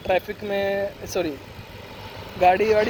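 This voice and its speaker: There is noticeable background noise as a man talks in a high pitch. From Punjab, India. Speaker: vlogger. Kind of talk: casual vlog. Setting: outdoors, riding on the road. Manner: conversational, with fillers and Hindi-English mixing.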